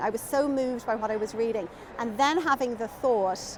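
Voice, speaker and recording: A woman speaks with a high pitch. There is noticeable background noise. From Ireland, Dublin. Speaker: children's author. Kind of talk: interview chat.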